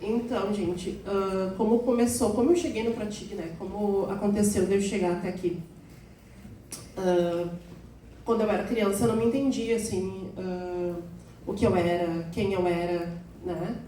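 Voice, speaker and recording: Over noticeable background noise and audible room echo, a woman talks at a fairly slow pace with fairly even intonation and long, frequent pauses. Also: medium pitch for a woman. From southern Brazil, Rio Grande do Sul (Alvorada). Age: 30s. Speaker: patient speaker. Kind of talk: talk to audience. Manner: halting.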